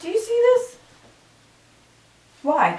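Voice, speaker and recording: A woman speaks at a fairly slow pace with lively intonation, in a room with audible echo and noticeable background noise. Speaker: beauty and lifestyle vlogger. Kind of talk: casual chat. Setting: home bedroom. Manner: chatty, casual.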